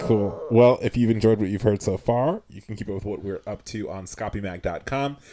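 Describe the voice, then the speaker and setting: With hardly any pauses and a fairly quick pace, a man speaks in a fairly low pitch with a dark, mellow tone, ordinary pitch variation and big swings in loudness. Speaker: podcast host. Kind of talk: casual chat.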